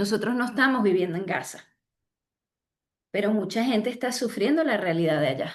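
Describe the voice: A woman speaks at medium pitch. Her pace is fairly quick. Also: lively intonation.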